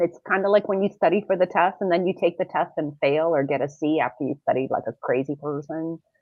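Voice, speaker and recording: Speaking fairly quickly with lively intonation, a woman talks with a slight Serbian accent. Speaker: podcast co-host. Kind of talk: casual panel discussion.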